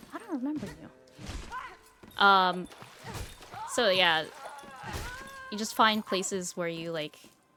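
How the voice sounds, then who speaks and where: A woman of medium pitch talks very slowly with lively intonation and long, frequent pauses. Her loudness swings widely, and background noise is noticeable. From Asia. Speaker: video game streamer. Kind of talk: casual chat while gaming. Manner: stutters and stumbles over words; casual, filler-heavy.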